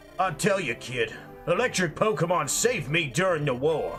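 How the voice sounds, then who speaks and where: A man talks in a strained, put-on character voice at a moderate pace. Clear music plays in the background. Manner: commanding, barking orders.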